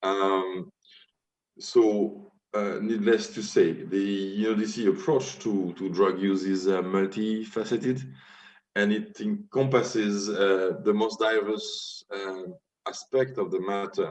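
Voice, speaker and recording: A man in a French accent speaks at a very slow pace and a fairly low pitch. His intonation is fairly even, and room echo is audible. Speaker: UN drug policy official. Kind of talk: conference presentation. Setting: virtual forum via video call. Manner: halting, many fillers.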